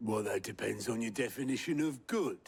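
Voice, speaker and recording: A man's raspy, put-on character voice at medium pitch and a fairly quick pace. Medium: video game. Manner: dry, sardonic, understated.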